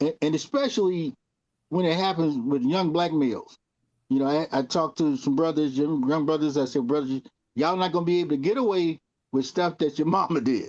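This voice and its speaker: Against a quiet background, a man speaks in a plain, everyday voice at a fairly quick pace, his pitch fairly high with ordinary variation and his loudness very even. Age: 60s. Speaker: TV talk show co-host. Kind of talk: casual panel discussion.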